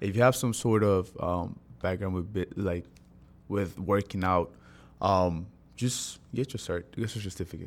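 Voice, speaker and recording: The voice keeps a fairly slow pace and fairly even intonation. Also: man, very deep, low pitch for a man, very clean recording, silent background. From Honduras, San Pedro Sula. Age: 20s. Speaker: personal trainer. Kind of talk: casual interview.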